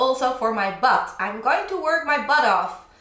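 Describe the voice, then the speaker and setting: Audible room echo surrounds a woman's high-pitched voice. She speaks at a fairly slow pace. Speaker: DIY vlogger. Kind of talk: casual vlog chat. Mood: cheerful, laughing often. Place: home room. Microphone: camera far.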